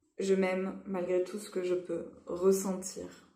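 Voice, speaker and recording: With audible room echo, a woman speaks at medium pitch in a dark, mellow tone. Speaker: EFT practitioner. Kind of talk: guided tapping session.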